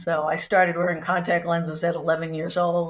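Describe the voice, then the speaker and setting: A woman with an American accent, fairly low-pitched and somewhat breathy, at a fairly quick pace in a monotone, flat delivery, in a very clean recording with a silent background. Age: 60s. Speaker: retiree, house sitter. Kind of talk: casual interview chat.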